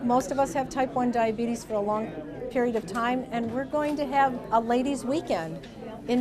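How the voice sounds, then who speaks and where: The speaker has an American accent, a moderate pace and ordinary pitch variation. Audible room echo and crowd noise fill the background. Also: woman. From US Midwest, northwest Ohio. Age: 50s. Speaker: diabetes education nurse. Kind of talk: interview testimony.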